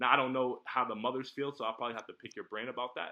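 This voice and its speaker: A man speaking at a very fast pace. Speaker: salesperson pitching marketing services. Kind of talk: sales pitch. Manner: halting, repeats words.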